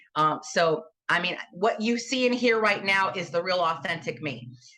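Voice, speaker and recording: The woman's pitch moves with ordinary variation as she speaks. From New York. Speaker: political candidate, former teacher. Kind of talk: campaign interview. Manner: animated, emphatic.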